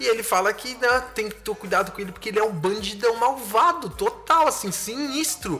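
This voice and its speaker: A man in a raised, projected voice speaks at a moderate pace in an animated tone with very wide pitch swings, against noticeable background noise. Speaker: podcast host. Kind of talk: casual monologue analyzing song lyrics.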